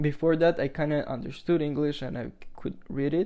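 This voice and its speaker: A man with a non-native accent speaks in a fairly high pitch with a dark, mellow tone. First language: not English. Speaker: podcast host. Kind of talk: casual monologue podcast. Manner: halting, many fillers.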